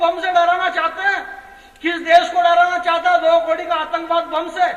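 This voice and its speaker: With crowd noise in the background, a man uses a raised, projected voice at an extremely high pitch and a moderate pace. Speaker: comedic poet. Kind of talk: live comic poetry performance to audience.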